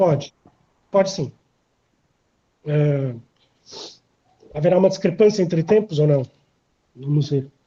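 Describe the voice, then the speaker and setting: A man speaks at a fairly slow pace with long, frequent pauses. His dark, mellow tone sits at a fairly high pitch with ordinary pitch variation. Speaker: philosophy researcher presenting a paper. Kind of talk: academic conference talk. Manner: hesitant fillers.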